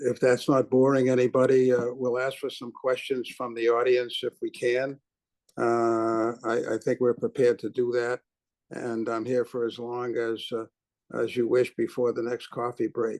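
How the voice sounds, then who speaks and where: Fairly slow and at a medium pitch, a man with a Boston accent speaks with a dry, close sound and no echo. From Boston, Massachusetts. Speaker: businessman and philanthropist. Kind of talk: keynote speech. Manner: halting, many fillers.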